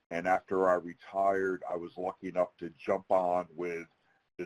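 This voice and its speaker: A man with a Philadelphia accent, very deep and low, in a dry, close sound with no echo. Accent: Philadelphia-area American. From US Northeast, outside Philadelphia. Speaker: federal security advisor, retired military. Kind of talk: webinar presentation. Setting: virtual webinar. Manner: fast.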